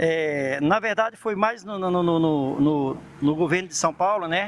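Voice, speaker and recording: The speaker uses a northeastern Brazilian accent with ordinary pitch variation. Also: man, high pitch for a man, fairly slow pace. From Paraíba, northeastern Brazil. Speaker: itinerant street vendor. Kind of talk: interview answer.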